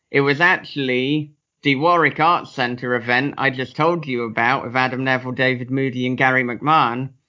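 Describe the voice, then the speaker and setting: The man talks at a moderate pace with a medium pitch and fairly even intonation. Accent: English. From England. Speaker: author and podcaster. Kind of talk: casual interview chat. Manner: swears casually, jokes.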